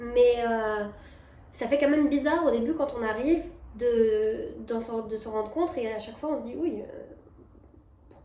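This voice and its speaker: A woman with a slight Belgian accent and a high pitch speaks at a moderate pace with ordinary pitch variation, and room echo is audible. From Belgium, Brussels. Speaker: expat coach and vlogger. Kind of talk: casual advice monologue. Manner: hesitant, many fillers and restarts.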